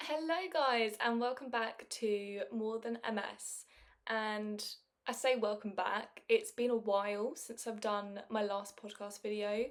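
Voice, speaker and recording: A woman with a plain, everyday voice speaks at a fairly slow pace in a fairly high pitch, her intonation fairly even. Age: 20s. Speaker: podcaster. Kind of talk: casual monologue.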